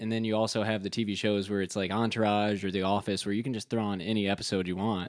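The speaker rattles along at a very fast pace with hardly any pauses. The intonation is monotone and flat, in an American accent. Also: man, fairly low pitch for a man. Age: 20s. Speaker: mortgage professional. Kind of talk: casual chat.

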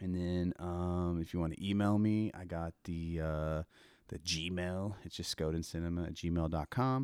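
A man with an American accent speaks in a very deep, low voice at a fairly slow pace, with fairly even intonation. The recording is very clean, dry and close, with a silent background and no echo. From Oklahoma, Tulsa area. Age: 40s. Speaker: podcast host. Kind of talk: casual chat.

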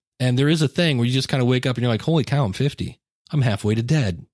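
A man speaks fast at a medium pitch with ordinary pitch variation and a slightly mellow tone. The recording is very clean, with a silent background.

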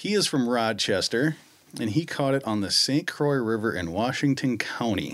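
A man with an American accent at a moderate pace with ordinary pitch variation, on a very clean recording with a silent background. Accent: Minnesotan, noticed by others. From Minnesota. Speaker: podcast host. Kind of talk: casual chat. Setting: studio. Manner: laughs often.

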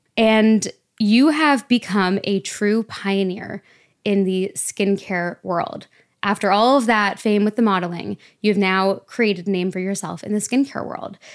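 A woman speaks at a fairly slow pace in a medium pitch with ordinary pitch variation, in a very clean recording with a silent background. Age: 20s. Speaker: podcast host and app founder. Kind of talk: casual interview. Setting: at guest's home.

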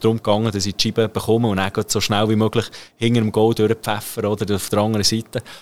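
Very fast speech from a man, his pitch medium. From Switzerland, Bern. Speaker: professional ice hockey player. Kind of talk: interview. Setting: locker room.

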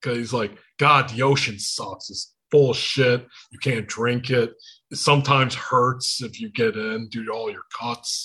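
With a Michigan accent and a bright, sharp tone, a man speaks at a medium pitch and a fairly slow pace with fairly even intonation. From Michigan, US. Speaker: podcast host. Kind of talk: casual chat. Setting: video call.

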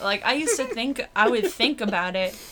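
A woman with an American accent talks at a fairly quick pace. Noticeable background noise runs behind her. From Brockton, Massachusetts. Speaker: comedian. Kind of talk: casual chat.

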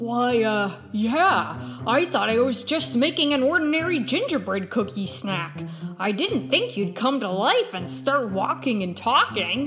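A woman puts on a character voice, pitched fairly high and paced fairly slowly. Background noise is clearly audible. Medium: audio drama.

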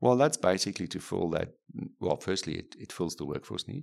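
Vocal fry runs through this man's voice as he talks at a fairly quick pace. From Namibia. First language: German or Afrikaans. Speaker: neurosurgeon. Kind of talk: interview. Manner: halting, many fillers and repetitions.

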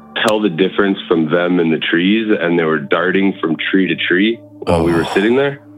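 A man with a very deep, low pitch talks at a moderate pace with hardly any pauses and ordinary pitch variation. Background noise is noticeable. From Manitoba, Canada. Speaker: caller to a paranormal call-in show. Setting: phone.

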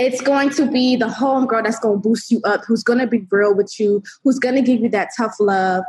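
Using an ordinary speaking voice, a woman speaks at a moderate pace with ordinary pitch variation. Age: 20s. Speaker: entrepreneur and app founder. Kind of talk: interview.

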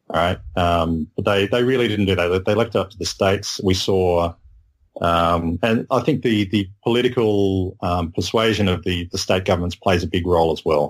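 A man with an Australian accent speaks at a moderate pace in a very deep, low voice. The recording is very clean, with a silent background. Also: ordinary pitch variation. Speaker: medical science guest. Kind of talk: casual chat. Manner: halting.

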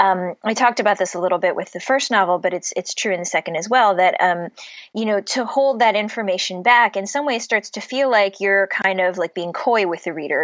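A woman speaks at a fairly quick pace with lively intonation. It is a plain, everyday voice. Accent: American. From US Midwest (Cleveland, Ohio). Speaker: novelist. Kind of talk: interview.

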